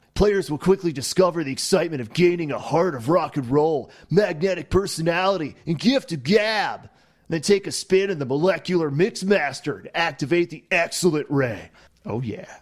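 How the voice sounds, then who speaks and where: Using a put-on character voice, a man speaks high-pitched with lively intonation. His pace is moderate. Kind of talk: casual bro slang.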